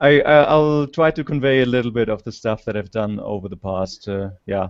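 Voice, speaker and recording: A man with a German accent and ordinary pitch variation. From Germany. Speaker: scientist presenter. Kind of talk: conference talk. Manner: halting. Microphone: slow internet connection.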